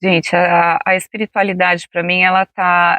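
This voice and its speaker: A woman speaks at medium pitch in a calm tone. The sound is dry and close, with no echo. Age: 40s. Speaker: interview guest sharing personal healing story. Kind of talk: casual interview testimony.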